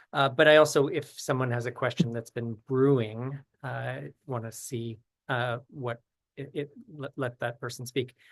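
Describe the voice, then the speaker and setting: Against a quiet background, a man at a medium pitch talks with fairly even intonation but big swings in loudness. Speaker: author and event organizer. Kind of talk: online Q&A discussion. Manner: slow, deliberate.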